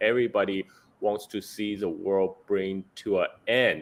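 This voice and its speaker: A man speaks at a very slow pace with a Chinese accent. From China. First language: Chinese dialect. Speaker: geopolitical analyst. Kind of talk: interview.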